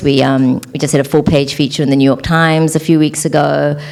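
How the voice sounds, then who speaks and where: With noticeable background noise behind her, a woman speaks fairly quickly in a New Zealand accent, her very deep, low pitch held in fairly even intonation. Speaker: entrepreneur, former attorney. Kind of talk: panel interview.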